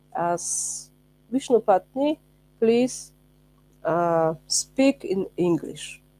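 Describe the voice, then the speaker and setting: With a non-native accent, a woman speaks at a medium pitch and a very slow pace, her intonation lively. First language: not English. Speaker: spiritual teacher, ashram member. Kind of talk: religious lecture. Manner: halting, hesitant.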